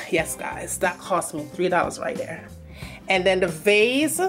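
A woman with a Jamaican accent, clear music in the background. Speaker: home decor vlogger. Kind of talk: casual home tour talk to camera. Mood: pleased, chatty. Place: home room. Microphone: phone near.

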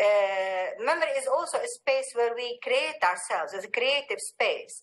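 A woman's high pitch and lively intonation at a moderate pace. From Palestine. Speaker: filmmaker; speaker. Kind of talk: panel discussion. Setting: video call. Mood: calm, reflective. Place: home room. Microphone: webcam.

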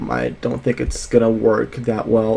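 The pace this man keeps is moderate. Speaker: student vlogger. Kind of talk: casual vlog chat. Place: home room. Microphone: studio mic.

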